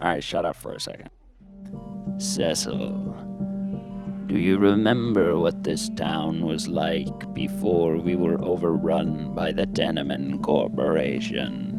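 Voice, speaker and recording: Over loud music in the background, a man uses a put-on character voice at a fairly slow pace. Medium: comedy sketch. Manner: theatrical, portentous, with sudden deadpan jokes.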